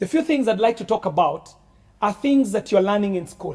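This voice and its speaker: Loud, high-pitched male voice, dark and mellow in tone, with lively intonation. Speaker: politician. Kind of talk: speech to students.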